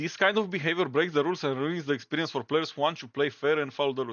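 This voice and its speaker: A man is speaking. He talks in a Romanian accent. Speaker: gaming YouTuber. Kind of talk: commentary reading aloud official statements. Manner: halting.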